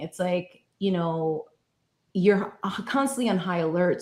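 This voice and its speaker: A woman talks at a fairly slow pace in an American accent, her pitch fairly low. It is a normal speaking voice. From New York. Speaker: guest speaker on recovery and mental health. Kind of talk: casual talk-show conversation.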